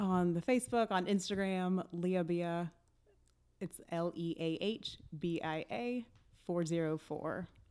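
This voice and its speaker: With an American accent, a woman speaks very slowly in a fairly low voice with a dark, mellow tone and ordinary pitch variation. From US South, Atlanta. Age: 30s. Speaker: comedian. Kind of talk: casual chat.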